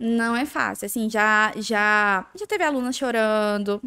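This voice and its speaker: An ordinary speaking voice moves at a fairly slow pace with ordinary pitch variation. The recording is very clean with a silent background, and the sound is dry and close with no echo. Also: woman. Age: 20s. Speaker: eyelash extension entrepreneur. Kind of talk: casual interview chat.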